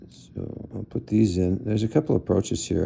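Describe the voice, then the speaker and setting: A dark, mellow tone with vocal fry and ordinary pitch variation. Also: man. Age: 60s. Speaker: gun collector. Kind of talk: tutorial. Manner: halting, many fillers; casual.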